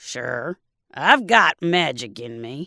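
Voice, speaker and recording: This is a put-on character voice, raspy and low-to-middle in pitch. The recording is very clean against a silent background. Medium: read story. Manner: folksy, teasing.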